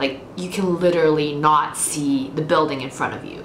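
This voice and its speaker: The pace is moderate and the intonation fairly even. Background noise is noticeable. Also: woman. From Austria. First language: German and Mandarin. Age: 20s. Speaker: book vlogger. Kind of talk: casual Q&A vlog. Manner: casual, with many fillers.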